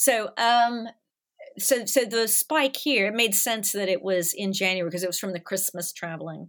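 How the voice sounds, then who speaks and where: A woman with an American accent and a medium pitch speaks at a moderate pace in a normal speaking voice, with ordinary pitch variation. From US South, Nashville. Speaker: animation studio artist manager. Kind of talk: casual chat. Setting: remote call, home microphone.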